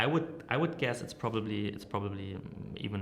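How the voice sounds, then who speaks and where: There is noticeable background noise and audible room echo as a man speaks at a fairly low pitch. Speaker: marketing director and agency founder. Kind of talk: interview. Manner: hesitant, many fillers.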